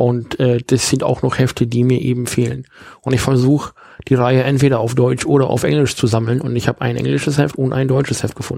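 A man talks at a fairly quick pace. His intonation stays flat and monotone. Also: medium pitch for a man. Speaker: podcast host. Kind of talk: casual chat. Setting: holiday rental in Husum. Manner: put-on northern German accent.

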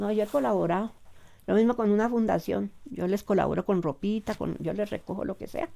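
The voice has a dark, mellow tone, lively intonation and a fairly quick pace. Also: woman, medium pitch for a woman. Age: 70s. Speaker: seamstress and weaver. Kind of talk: life story interview.

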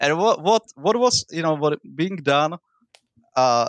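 Over a quiet background, a man with a Central European accent speaks at a fairly high pitch. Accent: Central European accent with non-rhotic R. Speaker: political commentator. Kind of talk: debate. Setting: remote call, basic microphone. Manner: profane, animated.

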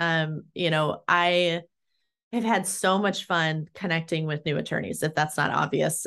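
A plain, everyday voice talks at a fairly slow pace against a quiet background. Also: woman. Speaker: employment litigation attorney. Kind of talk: casual interview chat.

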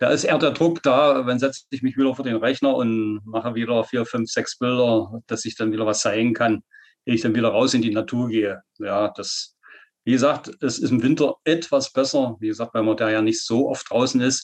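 Against a quiet background, a man with a medium pitch speaks at a moderate pace with fairly even intonation. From Saxony-Anhalt, eastern Germany. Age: 50s. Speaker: nature photographer. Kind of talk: interview.

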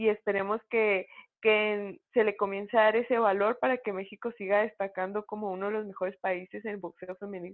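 A woman talks with a plain, everyday voice. Her pace is moderate and her intonation fairly even. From Mexico, Chihuahua (Cuauhtémoc). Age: 20s. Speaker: professional boxer. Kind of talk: interview.

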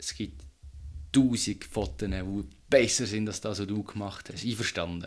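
A man with vocal fry talks at a moderate pace and a fairly low pitch, with lively intonation. His loudness swings widely, and he takes long, frequent pauses. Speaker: podcast host. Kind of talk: casual chat.

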